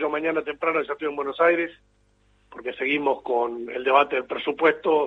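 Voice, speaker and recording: Fairly high-pitched male speech in a plain, everyday voice, with fairly even intonation and a fairly quick pace. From Argentina, Entre Ríos. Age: 50s. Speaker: politician. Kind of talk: interview.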